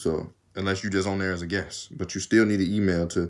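Over a quiet background, a man talks at a very fast pace in a very deep, low voice. His intonation stays monotone and flat. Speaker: YouTuber. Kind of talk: casual vlog. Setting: home video recording. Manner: casual, rambling. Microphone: phone near.

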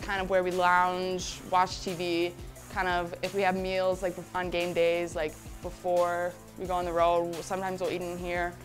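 A woman talks at a moderate pace while music plays clearly behind her. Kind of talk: casual tour guide chat.

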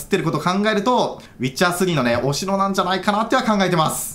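A very fast pace, with audible room echo and noticeable background noise. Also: man. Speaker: gaming YouTuber. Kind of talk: game news commentary. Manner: animated.

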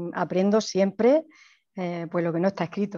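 A woman talks at a moderate pace over a quiet background. Her tone is dark and mellow, with fairly even intonation. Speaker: primary school teacher. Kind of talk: casual comments in video call. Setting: video call. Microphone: video call.

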